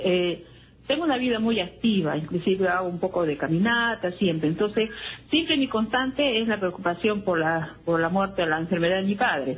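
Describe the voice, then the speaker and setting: A woman speaks at a moderate pace in a medium pitch. Her intonation is lively and her loudness very even. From Peru, Arequipa region. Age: 60s. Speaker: caller. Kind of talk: call-in question to a radio health show. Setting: phone call. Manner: hesitant, many fillers.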